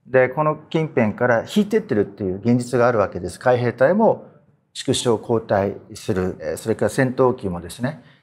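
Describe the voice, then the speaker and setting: A man's pitch swings very widely while he keeps to a moderate pace. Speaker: political analyst and show host. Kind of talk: panel discussion. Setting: studio. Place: studio.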